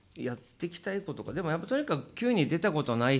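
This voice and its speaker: Recorded very cleanly with a silent background, a man speaks in a plain, everyday voice with lively intonation at a fairly quick pace. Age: 50s. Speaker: drummer and live venue booker. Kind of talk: casual chat.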